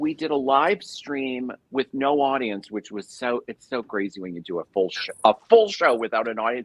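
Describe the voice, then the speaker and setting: A woman with a very deep, low pitch speaks at a moderate pace with lively intonation, hardly any pauses and big swings in loudness. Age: 60s. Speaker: cabaret singer and show host. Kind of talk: casual chat. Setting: live stream. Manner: animated.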